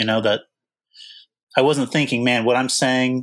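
Fairly even, medium-pitched male speech on a very clean recording against a silent background. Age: 20s. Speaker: stock trader, former podcast guest. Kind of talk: casual conversation. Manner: halting.

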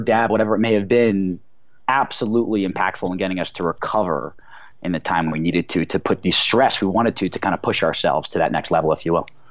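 A man's fairly low voice at a fairly quick pace, with an American accent. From New Jersey, New York City area. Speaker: cannabis accessory company co-founder, former pro golfer. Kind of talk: interview. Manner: filler-heavy, with hesitations.

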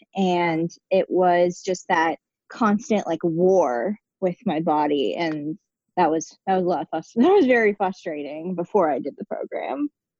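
A woman with an American accent and a dark, mellow tone speaks at a fairly low pitch and a fairly slow pace with lively intonation, in a dry, close sound with no echo. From Pittsburgh, US. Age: 20s. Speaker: guest, new mother. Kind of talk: casual interview. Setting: remote call.

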